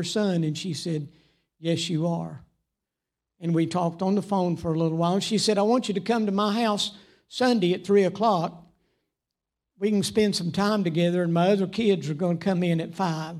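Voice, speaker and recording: Speaking in a Southern US accent, a man with a high voice keeps a moderate pace and fairly even intonation on a very clean recording with a silent background. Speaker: preacher. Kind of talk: sermon. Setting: church.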